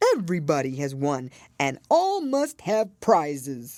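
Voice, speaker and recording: A put-on character voice at a low-to-middle pitch moves along at a fairly slow pace. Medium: read story. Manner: solemn, grandiloquent.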